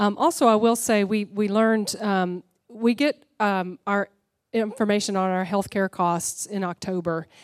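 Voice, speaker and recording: A woman with a normal speaking voice talks fairly slowly at medium pitch with ordinary pitch variation, in a very clean recording with a silent background and a dry, close sound with no echo. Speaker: senior pastor. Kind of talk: church meeting moderation and prayer. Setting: church theater with live audience and livestream.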